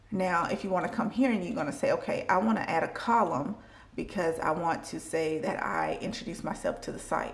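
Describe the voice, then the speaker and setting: A woman at a medium pitch and moderate pace, with lively intonation and audible room echo. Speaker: clinical research associate vlogger. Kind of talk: tutorial. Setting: in a car. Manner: slurred speech from dental aligners.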